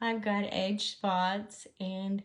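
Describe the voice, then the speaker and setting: A woman speaks at a very slow pace in a medium pitch, somewhat breathy, with monotone, flat intonation. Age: 60s. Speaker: makeup artist. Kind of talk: tutorial. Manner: soft-spoken.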